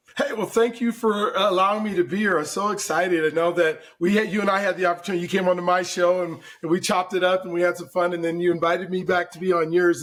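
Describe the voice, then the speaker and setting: Very fast talking, fairly even in intonation, over noticeable background noise. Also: man. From Colorado, Denver. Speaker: mortgage broker. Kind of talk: podcast interview.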